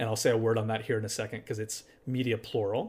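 A man with an American accent talks at a very fast pace in a somewhat breathy voice, on a very clean recording with a silent background. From US Appalachia. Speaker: documentary photographer and filmmaker. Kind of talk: interview conversation. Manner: hesitant with repetitions.

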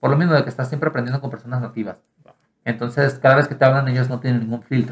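A man talks at a very fast pace, somewhat breathy. His intonation stays fairly even. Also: medium pitch for a man. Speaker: student abroad. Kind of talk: casual chat.

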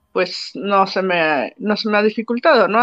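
This woman has a plain, everyday voice at a medium pitch. Her intonation is fairly even. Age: 30s. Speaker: university professor. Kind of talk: interview.

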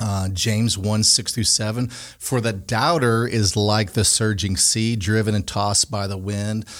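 A plain, everyday voice, a man's, fairly low in pitch with fairly even intonation. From Connecticut. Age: 40s. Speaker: podcast host and ministry leader. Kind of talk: casual faith discussion.

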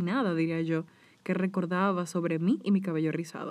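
In a Dominican accent, a woman speaks with a dark, mellow tone. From Dominican Republic. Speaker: podcast host; hair stylist. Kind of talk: personal monologue.

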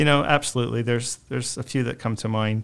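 A man with an American accent is heard in a very clean recording over a silent background. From Arizona, Mesa. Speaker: publisher of a senior services resource guide. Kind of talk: interview.

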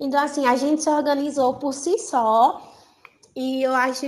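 A high-pitched woman at a fairly slow pace. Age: 20s. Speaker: university student. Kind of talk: interview.

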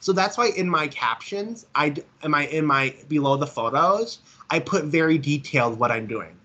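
The tone here is bright and sharp. It belongs to a man with an American accent. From Minnesota, near St. Cloud. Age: 20s. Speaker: visually impaired mall worker. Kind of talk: interview. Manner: halting, repetitive.

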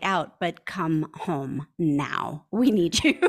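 Speaking with an American accent, a woman uses a fairly low pitch and lively intonation. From US Midwest, small town Wisconsin. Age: 50s. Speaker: pastor. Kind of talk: interview.

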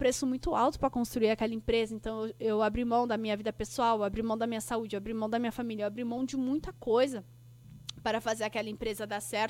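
A woman speaks at a very fast pace and a fairly high pitch. The recording is very clean, with a silent background. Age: 30s. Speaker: podcast host and business mentor. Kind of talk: solo podcast monologue. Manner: animated.

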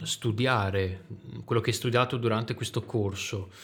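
A man speaks with a strong Venetian accent. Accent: strong Veneto. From Veneto, Italy. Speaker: podcast host. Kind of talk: casual chat.

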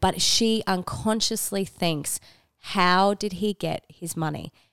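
On a very clean recording with a silent background and a dry, close sound with no echo, a woman with an Australian accent speaks at a medium pitch with ordinary pitch variation. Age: 30s. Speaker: podcast co-host. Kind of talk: casual chat. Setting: at home across a coffee table.

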